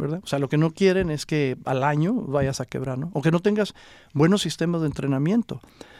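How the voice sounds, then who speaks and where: A man with a normal speaking voice, a fairly high pitch, a fairly quick pace and ordinary pitch variation. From Mexico, Coahuila (Acuña). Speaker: entrepreneur, juice bar franchise owner. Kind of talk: interview, casual chat.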